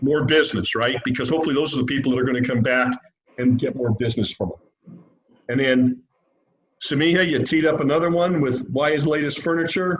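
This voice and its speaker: A man with an unremarkable speaking voice talks at a fairly quick pace and fairly high pitch, with ordinary pitch variation. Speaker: business mentor giving feedback. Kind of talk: feedback on student presentation.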